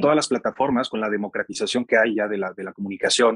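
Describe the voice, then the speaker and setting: The man speaks at a very fast pace. His voice sits at medium pitch with ordinary pitch variation. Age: 30s. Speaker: podcast host. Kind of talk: interview.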